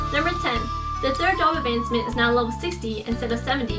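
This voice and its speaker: A woman talks at a very fast pace over clear music in the background. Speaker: gaming vlogger. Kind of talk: scripted informational game vlog. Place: home room.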